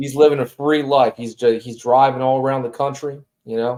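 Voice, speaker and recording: A man's voice at medium pitch with monotone, flat intonation and a moderate pace. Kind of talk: casual live stream chat. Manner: frequent humming 'mm' fillers.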